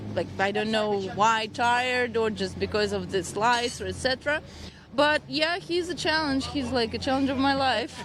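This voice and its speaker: With a non-native accent and lively intonation, a woman speaks at a high pitch over noticeable background noise. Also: moderate pace. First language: not English. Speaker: rally co-driver. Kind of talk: interview.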